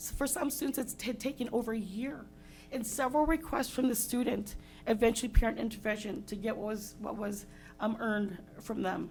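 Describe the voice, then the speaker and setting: Music plays in the background as a woman speaks at a fairly quick pace. Her pitch is fairly high, with ordinary variation. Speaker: parent giving public comment. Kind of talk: public comment at school board meeting. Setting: school board meeting. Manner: fast.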